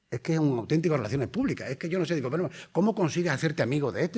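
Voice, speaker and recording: A man's fairly high voice has a dark, mellow tone, vocal fry, and lively intonation. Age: 60s. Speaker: primary school teacher and patient advocate. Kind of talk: conference lecture. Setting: conference hall with audience.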